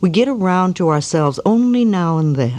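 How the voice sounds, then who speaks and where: A woman at a fairly slow pace, calm and warm in tone, with very wide pitch swings. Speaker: self-help author and speaker. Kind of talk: self-help affirmation talk. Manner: calm, warm, gentle.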